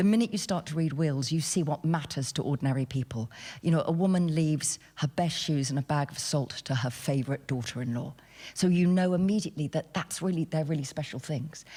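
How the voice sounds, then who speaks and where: Recorded very cleanly against a silent background, a woman with a very deep, low pitch talks at a fairly quick pace, somewhat breathy, with ordinary pitch variation. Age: 60s. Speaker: novelist. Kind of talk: panel discussion. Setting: stage with audience. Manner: animated.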